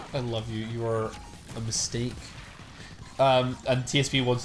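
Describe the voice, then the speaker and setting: Heard with audible room echo, a man of medium pitch speaks in a Scottish accent. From Scotland. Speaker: streamer. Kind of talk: casual chat. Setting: live stream. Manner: animated.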